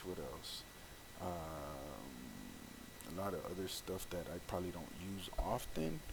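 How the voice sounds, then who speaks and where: A man's very deep, low voice at a very slow pace, lively in intonation, with noticeable background noise and audible room echo. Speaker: tech tutorial creator. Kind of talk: screen-recorded tutorial. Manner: halting, hesitant with many fillers; casual.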